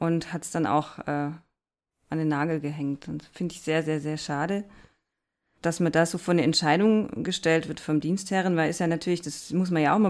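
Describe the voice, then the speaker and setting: Her pitch sits fairly low for a woman, and her intonation stays fairly even at a fairly quick pace. The recording is very clean, with a silent background. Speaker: teacher and author. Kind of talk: casual chat.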